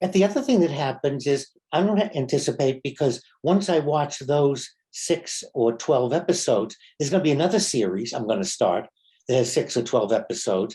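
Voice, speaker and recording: Here a man speaks with a dark, mellow tone and fairly high pitch, somewhat breathy. He moves at a fairly quick pace with lively intonation. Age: 70s. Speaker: rabbi. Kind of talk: casual conversation.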